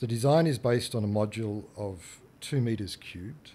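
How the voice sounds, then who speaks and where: Fairly slow and dark, mellow in tone, a man's voice carries the clip. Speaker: architect. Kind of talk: presentation talk. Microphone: leaning down close to microphone.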